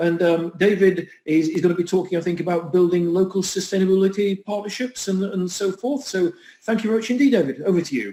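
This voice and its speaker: With a Yorkshire accent, a man speaks very fast in a dark, mellow tone that sits high, using ordinary pitch variation and hardly any pauses. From Huddersfield, northern England. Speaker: event host. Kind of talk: event moderation.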